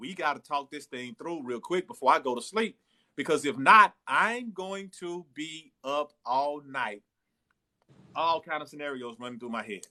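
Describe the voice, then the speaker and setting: A bright, sharp tone with lively intonation and big swings in loudness comes at a moderate pace in an American accent, on a dry, close sound with no echo and a very clean recording with a silent background. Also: man, fairly high pitch for a man. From Texas, Dallas. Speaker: live-stream host. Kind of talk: casual chat. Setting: livestream on TikTok.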